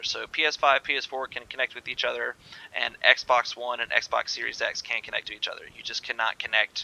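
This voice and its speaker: A man speaks at a fairly quick pace. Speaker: gaming YouTuber. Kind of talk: gameplay tutorial. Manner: fast; casual, filler-heavy.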